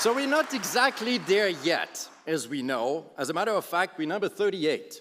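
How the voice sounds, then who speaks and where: Noticeable background noise surrounds a man speaking at a high pitch with very wide pitch swings. His moderate pace has hardly any pauses. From Switzerland. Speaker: business leader. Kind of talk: keynote speech.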